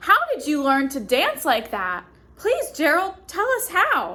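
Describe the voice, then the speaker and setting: In a put-on character voice, a woman speaks fairly slowly at a high pitch, raised and projected, with very wide pitch swings. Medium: read story.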